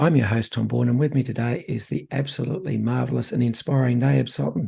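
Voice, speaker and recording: Fairly quick speech with hardly any pauses, very wide pitch swings, vocal fry and a dark, mellow tone, with an Australian accent. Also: man. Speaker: podcast host. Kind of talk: podcast interview.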